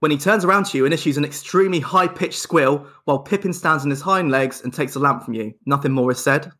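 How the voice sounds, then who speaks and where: A man with an English accent speaks in a bright, sharp tone at a fairly high pitch with ordinary pitch variation. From England. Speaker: podcast co-host. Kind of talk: casual chat.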